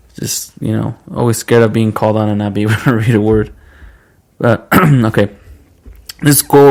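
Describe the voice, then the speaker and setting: A man speaks with a non-native accent at a medium pitch. His pace is moderate and his intonation fairly even. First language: not English. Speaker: podcast co-host. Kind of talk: casual chat. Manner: casual, slangy.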